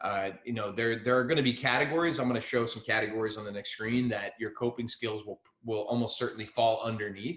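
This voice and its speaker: A man with an American accent talks at a very fast pace, his medium-pitched voice holding a fairly even intonation. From central New Jersey. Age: 30s. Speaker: mental health speaker. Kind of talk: talk to students. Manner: casual, filler-heavy.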